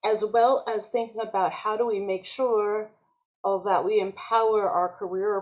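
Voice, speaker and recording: A plain, everyday voice at a moderate pace. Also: woman. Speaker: conference participant, former agricultural researcher. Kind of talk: panel discussion comment.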